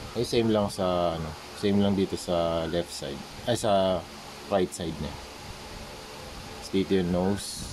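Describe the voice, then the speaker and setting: Over noticeable background noise, a man with a very deep, low voice speaks fairly slowly with fairly even intonation. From Philippines, Manila. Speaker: visual artist, toy customizer. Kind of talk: tutorial. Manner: casual, halting with fillers.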